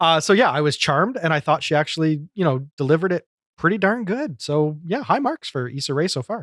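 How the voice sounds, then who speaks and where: In a Canadian accent, a man with a plain, everyday voice speaks at a fairly high pitch and fairly quick pace with lively intonation, recorded dry and close with no echo on a very clean recording with a silent background. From Canada. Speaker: podcast host. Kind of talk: casual chat.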